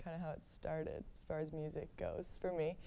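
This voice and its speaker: A woman's voice carries audible echo from the room. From Atlanta, Georgia. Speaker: folk musician. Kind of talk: interview. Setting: studio. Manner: loud; casual, halting with fillers.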